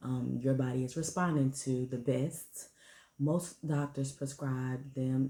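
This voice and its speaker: A soft-spoken woman with a very deep, low pitch and a dark, mellow tone speaks at a fairly slow pace in a monotone, flat intonation on a very clean recording with a silent background. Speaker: parenting and fertility vlogger. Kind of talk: casual vlog talk to camera. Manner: soft-spoken, talking low.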